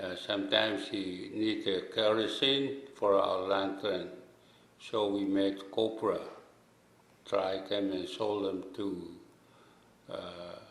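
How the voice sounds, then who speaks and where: Speaking at a very slow pace with fairly even intonation, this voice leaves long, frequent pauses, and audible room echo surrounds it. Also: man, fairly low pitch for a man. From Micronesia, outer islands of Yap. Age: 60s. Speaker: islander elder. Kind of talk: testimony. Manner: halting.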